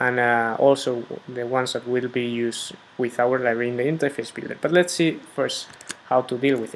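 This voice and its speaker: A man talking at a fairly quick pace with fairly even intonation, amid noticeable background noise. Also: medium pitch for a man. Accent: Spanish. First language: Spanish. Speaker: software developer. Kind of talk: tutorial. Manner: hesitant, many fillers.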